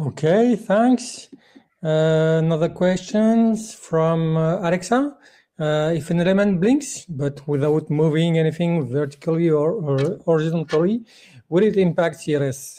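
Against a quiet background, the speaker moves at a fairly slow pace. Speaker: conference moderator. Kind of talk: event moderation and Q&A. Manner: halting, many fillers. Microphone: video call.

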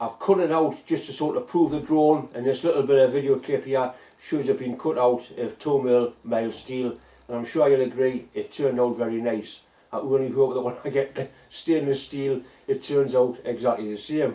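Over audible room echo, a man speaks at a moderate pace with fairly even intonation. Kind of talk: casual workshop vlog chat. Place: workshop. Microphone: phone near.

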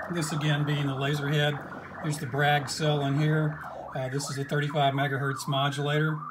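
Noticeable background noise accompanies a man talking. He keeps a moderate pace in a monotone, flat intonation. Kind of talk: tutorial. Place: workshop. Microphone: phone near.

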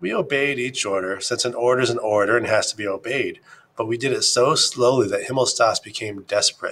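A natural reading voice, with pitch that varies in an ordinary way

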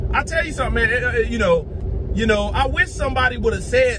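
A man's voice with a dry sound, no echo, and noticeable background noise. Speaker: religious video preacher. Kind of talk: angry sermon-style rant, scolding and preaching with heated indignation. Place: car. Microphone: phone near.

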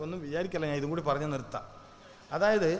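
Room echo and noticeable background noise surround a man's voice. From Kerala, Kannur. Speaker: Islamic preacher. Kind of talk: sermon. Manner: animated.

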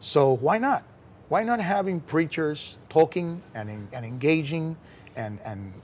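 At a moderate pace, a somewhat breathy voice makes very wide pitch swings over light background noise. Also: man. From Puerto Rico. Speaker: pastor. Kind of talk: interview. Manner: halting, with repeated words. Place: studio. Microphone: lapel.

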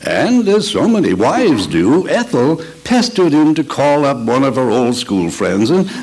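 A man speaks at a fairly slow pace, his voice moving in very wide pitch swings. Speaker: radio announcer. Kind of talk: old-time radio show opening announcement. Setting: live event recreation. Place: hall. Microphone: podium.

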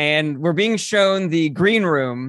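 Against a quiet background, a man speaks in a fairly high pitch. His intonation is lively, and the sound is dry with no echo. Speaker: comedian. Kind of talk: casual chat. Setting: video call. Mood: amused, laughing group. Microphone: studio mic.

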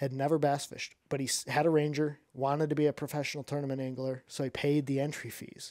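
A man with an Upper Midwest accent talks very fast with hardly any pauses, his fairly high voice dark and mellow in tone yet monotone and flat, over a quiet background with a dry sound and no echo. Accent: Upper Midwest American. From Michigan, mid Michigan. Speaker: professional bass angler and fishing YouTuber; podcast guest. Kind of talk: casual interview chat. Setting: studio. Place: studio. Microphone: studio mic.

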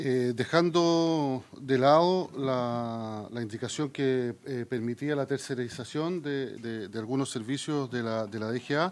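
The pace is very slow. A man speaks with ordinary pitch variation. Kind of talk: formal committee presentation. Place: meeting room. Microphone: podium.

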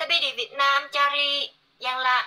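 Fairly slow speech from a woman, bright and sharp in tone. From Korea. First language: Korean (speaking Indonesian). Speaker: livestreamer. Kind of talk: casual chat. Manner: halting. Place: home room. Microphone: phone near.

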